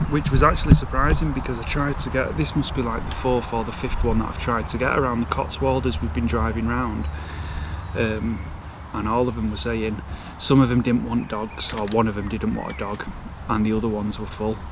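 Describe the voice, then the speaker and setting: A man speaks fairly quickly at a fairly low pitch, with very wide pitch swings. Noticeable background noise and audible room echo are present. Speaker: travel vlogger. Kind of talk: vlog narration.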